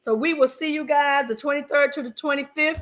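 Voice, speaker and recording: A woman with a Southern US accent, high-pitched, animated and bright with a sharp edge, at a moderate pace. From US South, North Carolina (Fayetteville). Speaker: podcast host, marriage coach. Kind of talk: casual chat.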